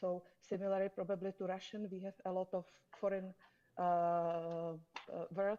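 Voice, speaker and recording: A dark, mellow tone with a Czech accent at a moderate pace. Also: woman. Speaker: conference panelist. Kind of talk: panel discussion.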